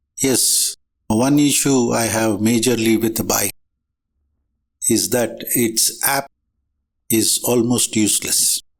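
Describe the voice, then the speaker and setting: A man with a medium pitch talks at a very slow pace, leaving long, frequent pauses, with fairly even intonation and very even loudness. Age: 70s. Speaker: motorcycle vlogger. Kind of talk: product review.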